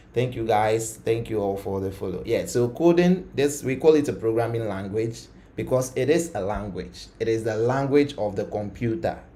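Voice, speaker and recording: A man with ordinary pitch variation and hardly any pauses, in a room with audible echo. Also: medium pitch for a man, moderate pace. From Ghana. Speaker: coding tutor, live streamer. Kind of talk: live coding tutorial stream. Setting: live stream. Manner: casual, many fillers.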